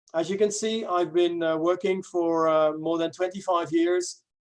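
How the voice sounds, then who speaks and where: A moderate pace, with a Dutch accent. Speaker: English teacher. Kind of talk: webinar presentation. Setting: online webinar. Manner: halting, many fillers.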